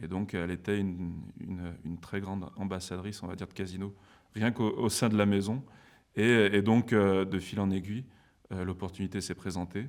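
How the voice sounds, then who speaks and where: This man talks at a moderate pace with a fairly low pitch and fairly even intonation, on a very clean recording with a silent background. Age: 30s. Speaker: business school alumnus, former store manager. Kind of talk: interview. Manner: hesitant, many fillers.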